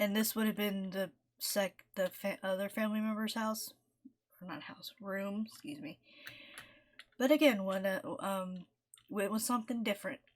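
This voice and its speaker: Somewhat breathy, a woman at medium pitch talks at a moderate pace with ordinary pitch variation and long, frequent pauses. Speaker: gaming youtuber. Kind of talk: casual gameplay commentary. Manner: halting, many fillers.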